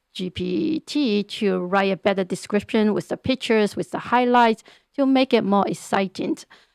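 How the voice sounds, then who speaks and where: A woman speaks with a Chinese accent and ordinary pitch variation. The recording is very clean, with a silent background. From China. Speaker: real estate agent. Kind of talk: interview. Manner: halting, many repeated words.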